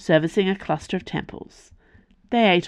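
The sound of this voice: With ordinary pitch variation, an unforced reading voice carries the text.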